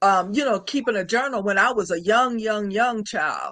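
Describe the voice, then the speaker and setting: A woman's bright, sharp voice, fairly high-pitched, with ordinary pitch variation. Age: 60s. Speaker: author and military retiree. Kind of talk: interview. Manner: halting.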